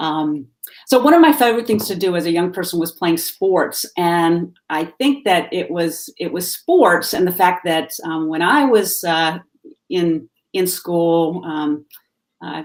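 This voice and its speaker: In a Southern US accent, a woman with a fairly low pitch talks at a fairly slow pace with ordinary pitch variation. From US South, Salisbury, North Carolina. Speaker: activist. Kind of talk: interview. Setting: live video stream. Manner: halting, many fillers.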